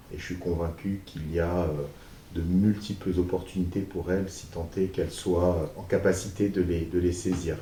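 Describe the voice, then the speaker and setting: Very deep and low, a man's somewhat breathy voice has a dark, mellow tone and monotone, flat intonation. He speaks at a moderate pace amid audible room echo. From France, Paris region. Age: 30s. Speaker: business manager and youth mentor. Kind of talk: interview. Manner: hesitant, many fillers.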